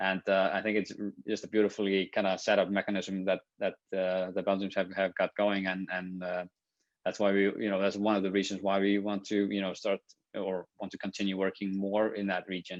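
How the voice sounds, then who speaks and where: A monotone, flat delivery at a fairly quick pace. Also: man, fairly low pitch for a man. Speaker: TV producer. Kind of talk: panel discussion. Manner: hesitant, many fillers.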